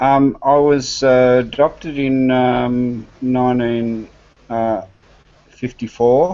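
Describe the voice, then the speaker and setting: In an Australian accent, a man speaks at a very slow pace. His medium-pitched voice has a dark, mellow tone and fairly even intonation. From Australia (Western Australia, Victoria). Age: 60s. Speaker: adoptee panelist. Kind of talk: personal testimony. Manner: halting, many fillers.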